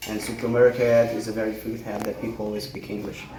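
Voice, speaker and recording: Recorded with audible room echo and noticeable background noise, a man speaks at a medium pitch with a Brazilian accent. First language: Portuguese. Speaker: language student. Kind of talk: casual interview. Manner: halting.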